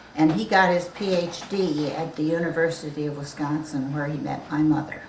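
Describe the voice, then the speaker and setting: A woman with an American accent speaks at a moderate pace with ordinary pitch variation, with audible room echo and noticeable background noise. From New Jersey. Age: 80s+. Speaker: interviewee. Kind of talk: family interview. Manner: halting.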